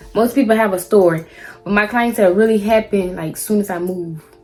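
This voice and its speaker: A woman with an American accent speaks fairly quickly at a fairly high pitch. Music plays in the background. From South Carolina. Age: 20s. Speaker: hairstylist. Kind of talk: casual talk to camera.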